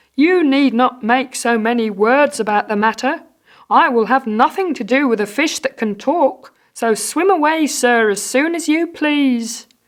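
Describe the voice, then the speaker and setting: A put-on character voice, female-sounding and high-pitched for a woman, at a moderate pace. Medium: read story. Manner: timid, reluctant.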